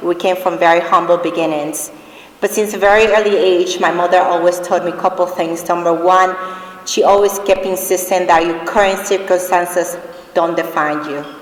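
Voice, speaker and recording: Speaking at a moderate pace with a Spanish accent, a woman uses a fairly low pitch and a monotone, flat delivery, with audible room echo and noticeable background noise. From Dominican Republic. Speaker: award recipient, finance executive. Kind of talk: award acceptance speech.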